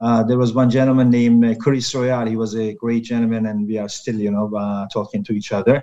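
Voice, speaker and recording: A man with a Turkish accent, medium in pitch, with a dark, mellow tone, monotone and flat in intonation, at a fairly quick pace. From Turkey. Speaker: health and safety professional. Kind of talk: interview. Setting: video call. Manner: halting.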